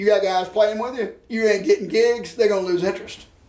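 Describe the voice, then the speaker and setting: Audible room echo carries a man's high-pitched voice with fairly even intonation. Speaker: music show host and songwriter. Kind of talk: casual interview chat. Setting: studio.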